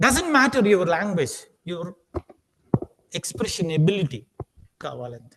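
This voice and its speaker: At a moderate pace with long, frequent pauses, a man speaks in a high voice that swings very widely in pitch. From India, Andhra Pradesh (Srikakulam). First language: Telugu. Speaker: aptitude trainer. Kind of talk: lecture. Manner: repetitive, emphatic.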